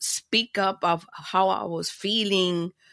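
A woman with a Caribbean accent speaks in a bright, sharp tone with a dry, close sound and no echo. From Panama, raised in Miami. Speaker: podcaster and former broadcast media planner. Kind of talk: casual interview chat. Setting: video call.

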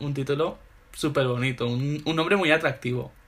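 A man speaks at a medium pitch and a moderate pace. His tone is animated, bright and sharp. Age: 20s. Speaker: literary magazine founder. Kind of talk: casual interview.

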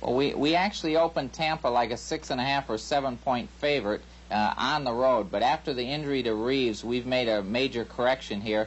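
Through noticeable background noise, a man talks at a fairly quick pace with hardly any pauses, medium pitch and ordinary pitch variation. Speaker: sports betting analyst. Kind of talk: sports betting picks discussion.

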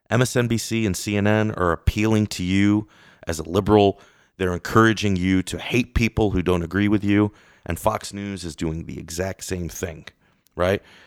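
A man with an American accent and an unremarkable speaking voice, fairly low in pitch, fairly even in intonation and moderate in pace, on a very clean recording with a silent background and a dry, close sound with no echo. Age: 40s. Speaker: political commentator. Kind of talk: casual chat.

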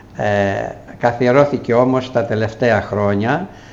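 Heard through noticeable background noise and audible room echo, a man speaks at a very slow pace. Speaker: retired school principal and former mayor. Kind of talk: interview.

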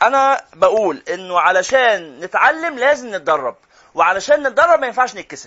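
A man with an Egyptian accent speaks at a moderate pace. His extremely high pitch makes very wide swings in an animated tone. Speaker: Quran teacher. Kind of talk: lecture.

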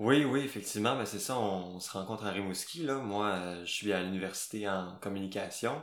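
A man's fairly low voice at a moderate pace, with ordinary pitch variation, hardly any pauses and audible room echo. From Quebec, Gaspésie. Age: 20s. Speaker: slam poet. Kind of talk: casual interview.

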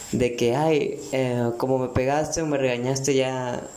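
Noticeable background noise and audible room echo surround a man's fairly high voice. He speaks fairly slowly in a flat, monotone way. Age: 20s. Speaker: podcaster. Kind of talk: casual monologue. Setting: bathroom at home. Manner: hesitant, many fillers.

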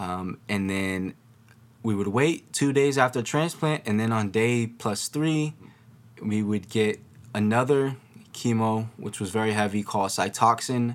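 A man's unremarkable speaking voice, medium in pitch, with ordinary pitch variation at a fairly slow pace, on a very clean recording with a silent background. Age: young (19). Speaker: podcast host, leukemia patient. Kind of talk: personal monologue about illness. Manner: casual with frequent fillers.

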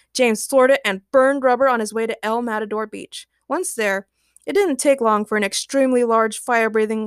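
Someone reads in a natural manner. Little can be heard behind the voice.

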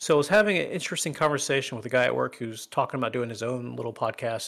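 A playful man's voice at medium pitch and a very fast pace. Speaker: gaming podcast co-host. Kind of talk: casual banter podcast. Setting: live stream. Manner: joking, playful.

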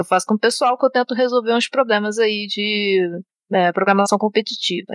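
A woman with an unremarkable speaking voice talks at a fairly quick pace and fairly high pitch, with ordinary pitch variation, in a dry, close recording with no echo. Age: 20s. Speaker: software developer. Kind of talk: casual chat.

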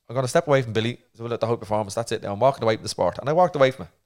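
In a very clean recording with a silent background, a man with an Irish accent speaks at a medium pitch with ordinary pitch variation. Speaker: retired Olympic boxer and therapist. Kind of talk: casual interview chat.

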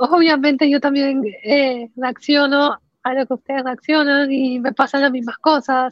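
The speaker is a woman with a high voice. Her intonation is monotone and flat. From Panama. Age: 20s. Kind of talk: interview conversation.

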